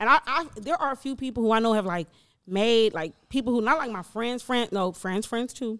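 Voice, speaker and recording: Fairly high-pitched, a woman talks at a fairly quick pace. Her tone is animated and her intonation lively. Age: 30s. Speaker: podcast host. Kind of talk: casual chat.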